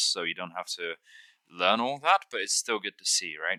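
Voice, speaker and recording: A man mumbles in a bright, sharp tone with ordinary pitch variation. The sound is dry and close, with no echo. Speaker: gaming tutorial youtuber. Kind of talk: tutorial. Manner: mumbling; halting.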